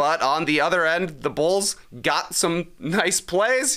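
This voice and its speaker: Over a quiet background, a bright, sharp tone comes through at a fairly slow pace with ordinary pitch variation. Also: man. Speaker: sports podcast co-host. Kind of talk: casual chat. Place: studio. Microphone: studio mic.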